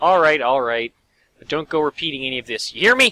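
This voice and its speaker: A man's put-on character voice, gruff and rumbling, fairly high in pitch, delivered very fast with big swings in loudness. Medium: actual play. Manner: gruff, grumbling.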